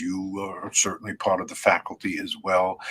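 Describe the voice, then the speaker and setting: With an American accent, a man speaks fairly slowly over noticeable background noise. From New York (Brooklyn). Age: 80s+. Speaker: networking conference founder. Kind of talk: interview.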